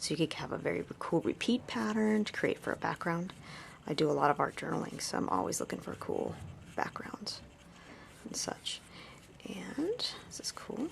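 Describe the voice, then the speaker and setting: A woman whispers at a moderate pace with long, frequent pauses. Noticeable background noise can be heard. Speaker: art tutorial presenter. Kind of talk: tutorial. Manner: casual, relaxed; whispering, soft-spoken.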